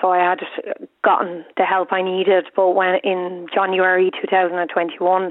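Speaking in an Irish accent, a woman with a medium pitch keeps a moderate pace and a monotone, flat intonation. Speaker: caller. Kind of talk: radio phone-in. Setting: phone call. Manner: halting.

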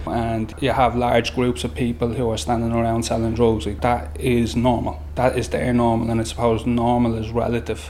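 A man with a Dublin accent speaks at a moderate pace with hardly any pauses. His medium-pitched voice has lively intonation over noticeable background noise. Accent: Dublin Irish. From Dublin inner city (Summerhill). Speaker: youth worker. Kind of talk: recorded interview.

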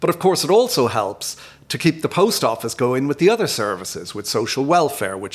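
A man with a Dublin accent talks at a fairly quick pace and medium pitch, his pitch swinging very widely. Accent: South Dublin Irish. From Dublin, Ireland. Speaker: chief executive. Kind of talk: casual chat.

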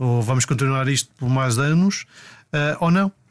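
A man with a normal speaking voice talks at a moderate pace, fairly high in pitch, with ordinary pitch variation. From Portugal, Madeira. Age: 40s. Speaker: personal trainer. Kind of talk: casual interview, storytelling.

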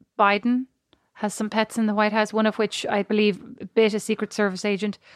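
A woman's voice at a moderate pace, dry and close with no echo. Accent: Irish. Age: 40s. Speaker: podcast co-host. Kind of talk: casual chat. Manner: animated.

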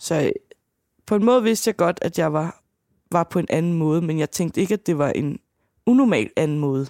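On a very clean recording with a silent background and a dry, close sound with no echo, a woman with a dark, mellow tone and fairly low pitch speaks at a moderate pace with lively intonation and long, frequent pauses. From Danish provincial town. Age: 30s. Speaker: podcast guest diagnosed with dissocial personality. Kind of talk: casual interview.

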